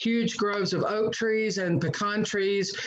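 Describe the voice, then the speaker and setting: A woman of medium pitch speaks with a Southern US accent. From US South, South Georgia (Valdosta). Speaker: pastor. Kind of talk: personal testimony in a panel discussion.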